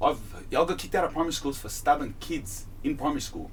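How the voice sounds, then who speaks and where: A man with an Australian accent, somewhat breathy, with very wide pitch swings and audible room echo. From Australia, Sydney. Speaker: rapper. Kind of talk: interview. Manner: halting.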